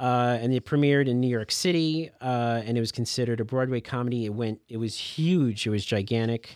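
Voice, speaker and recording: A man's normal speaking voice at a medium pitch, fairly quick and with hardly any pauses, with ordinary pitch variation. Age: 40s. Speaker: library podcast host. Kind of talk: casual chat.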